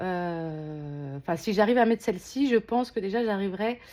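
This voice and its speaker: A woman with a medium pitch talks at a moderate pace, her intonation lively. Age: 30s. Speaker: unboxing vlogger. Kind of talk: casual unboxing vlog. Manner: hesitant, many filler sounds.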